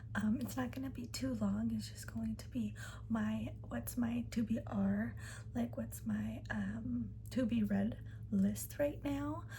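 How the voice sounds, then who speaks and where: A soft-spoken woman talks at a very slow pace. Noticeable background noise can be heard. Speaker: ASMR creator. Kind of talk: ASMR whispered-style chat to camera about a reading list. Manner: soft-spoken, rambling.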